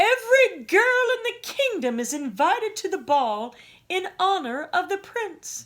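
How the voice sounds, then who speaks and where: A woman uses a put-on character voice, raised and projected, at a moderate pace. Her pitch is extremely high, with very wide pitch swings. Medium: read story. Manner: sly, haughty.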